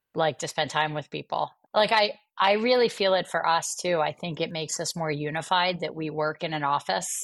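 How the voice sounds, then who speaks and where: A woman has an ordinary speaking voice with ordinary pitch variation and a fairly low pitch. The recording is very clean, and the background is silent. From US Northeast (Atlantic City, New Jersey). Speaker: bank CEO and business executive. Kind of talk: interview.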